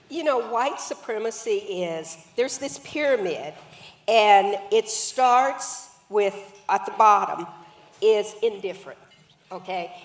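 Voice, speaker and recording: At a very slow pace with long, frequent pauses, a woman with a fairly high pitch and lively intonation speaks amid noticeable background noise. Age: 70s. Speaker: author and anti-racism activist. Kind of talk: panel conversation.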